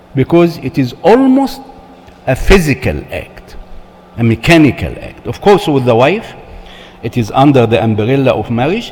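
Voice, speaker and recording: With long, frequent pauses and noticeable background noise, a man speaks in a fairly high voice that makes very wide pitch swings. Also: moderate pace. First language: not English. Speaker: church marriage seminar speaker. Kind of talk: seminar talk.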